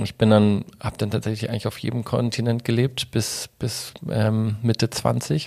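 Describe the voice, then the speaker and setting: A man speaks at a moderate pace in a medium pitch, his intonation flat and monotone, with hardly any pauses, on a very clean recording with a silent background. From Germany, Munich (Bavaria). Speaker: photographer and former model. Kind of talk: interview. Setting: host's living room.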